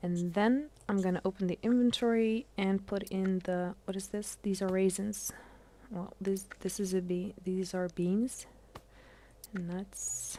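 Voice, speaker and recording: Speaking at a fairly slow pace, a woman with a non-native accent uses a medium pitch. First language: not English. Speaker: gaming streamer. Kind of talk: live gameplay stream tutorial. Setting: live stream. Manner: halting, many fillers.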